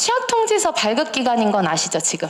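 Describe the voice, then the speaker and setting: Her pitch swinging very widely, a woman speaks over noticeable background noise with audible room echo. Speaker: lecturer for parents. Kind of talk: lecture.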